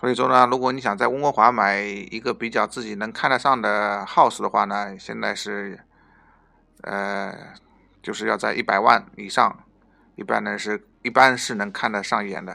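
Over a silent background in a very clean recording, a man with a fairly low pitch, vocal fry and a bright, sharp tone speaks at a moderate pace, with ordinary pitch variation and big swings in loudness. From Northeast China. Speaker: podcast host at an immigration consultancy. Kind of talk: informational podcast monologue. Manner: hesitant, frequent filler sounds and repetitions.

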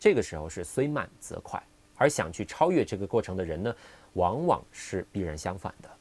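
A man at a moderate pace with very wide pitch swings, in a very clean recording with a silent background. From Guangdong, Qingyuan. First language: Cantonese (speaking Chinese). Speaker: English pronunciation teacher. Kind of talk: solo podcast talk.

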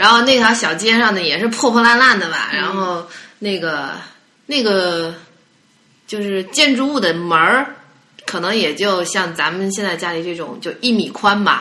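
The voice moves at a moderate pace with lively intonation. There is audible room echo. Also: woman, medium pitch for a woman. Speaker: podcast guest. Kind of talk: casual chat.

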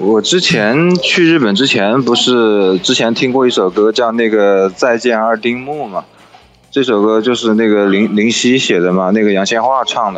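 With music in the background, a man speaks at medium pitch and a moderate pace, using ordinary pitch variation. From China, Wuhan. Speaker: podcast guest, travel companion. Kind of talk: casual chat. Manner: hesitant, many fillers.

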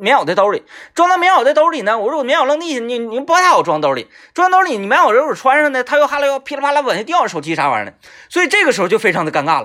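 A man talks at a very fast pace in a raised, projected voice of extremely high pitch. His tone is bright and sharp, and his pitch swings very widely. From Northeast China. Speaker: radio host. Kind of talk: casual monologue. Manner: animated.

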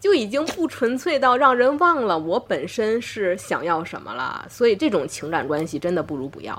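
A woman with a Tianjin accent and a fairly high pitch speaks at a moderate pace with hardly any pauses, very wide pitch swings, big swings in loudness and vocal fry. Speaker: doctor and podcast host. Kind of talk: casual chat.

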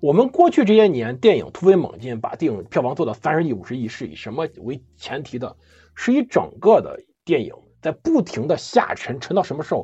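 A man speaks at a fairly quick pace with a fairly high pitch and vocal fry. His pitch swings very widely, and his loudness shifts a lot. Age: 30s. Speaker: history podcast host. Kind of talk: casual chat.

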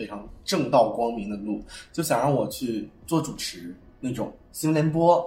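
With lively intonation and a medium pitch, a man speaks at a moderate pace amid noticeable background noise and audible room echo. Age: 20s. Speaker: fashion designer. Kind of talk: casual chat.

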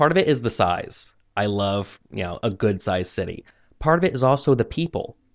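Moving at a fairly quick pace, a man speaks in a medium pitch with very wide pitch swings. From US Midwest, Missouri. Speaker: American living in China. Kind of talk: interview. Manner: hesitant, many fillers.

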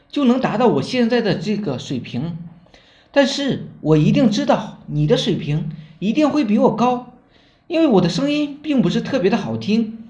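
Audible room echo surrounds speech with lively intonation. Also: man. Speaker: online marketing trainer. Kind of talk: tutorial. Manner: slow.

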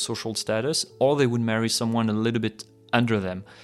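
Here a man speaks with a French accent at a medium pitch. His pace is moderate and his intonation fairly even. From France, Paris. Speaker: podcast guest. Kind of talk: casual chat.

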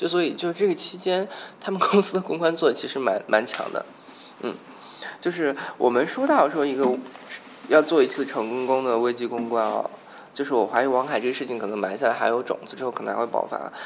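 Over noticeable background noise, a man with a fairly high voice and lively intonation talks at a fairly quick pace, leaving long, frequent pauses. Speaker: podcast host. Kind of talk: casual chat.

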